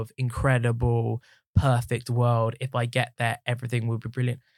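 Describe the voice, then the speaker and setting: A man with a southern English accent at medium pitch and a moderate pace, in a very clean, dry, close recording with no echo and a silent background. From southern England, Watford. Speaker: musical theatre actor and headshot photographer. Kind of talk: casual chat. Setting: studio.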